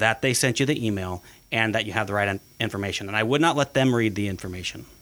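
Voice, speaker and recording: An unremarkable speaking voice, fairly quick in tempo, its pitch varying in an ordinary way. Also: man. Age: 40s. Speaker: podcast host, IT company executive. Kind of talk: casual chat.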